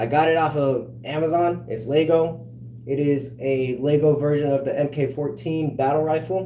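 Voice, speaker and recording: A man with an American accent, fairly high in pitch, at a moderate pace with fairly even intonation and audible room echo. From California. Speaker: livestreamer. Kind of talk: casual livestream chat.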